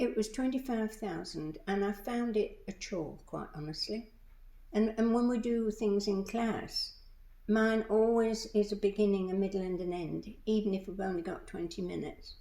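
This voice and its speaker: A woman's fairly high pitch, dark and mellow in tone, with ordinary pitch variation and a moderate pace. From England. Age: 80s+. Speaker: retired librarian and storyteller. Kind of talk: interview. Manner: halting, many false starts.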